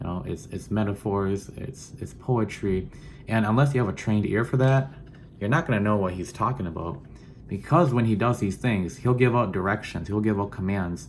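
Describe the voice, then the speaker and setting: The speaker is a man with a Southeast Asian accent. His voice sits fairly low, with ordinary pitch variation. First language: Hmong. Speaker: student teacher. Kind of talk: personal introduction video. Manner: halting, many fillers and repeats.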